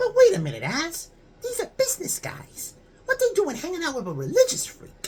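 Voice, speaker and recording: A put-on character voice pitched extremely high and squeaky. It moves at a fairly quick pace. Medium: read story. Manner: blunt, slangy, easily awed.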